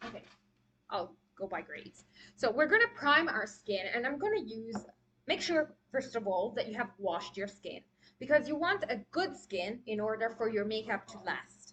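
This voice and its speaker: A woman with a non-native accent speaks at a moderate pace in a fairly high, bright, sharp tone, her intonation lively and her loudness swinging widely. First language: not English. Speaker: makeup artist. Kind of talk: live tutorial. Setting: live stream. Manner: casual, hesitant with fillers.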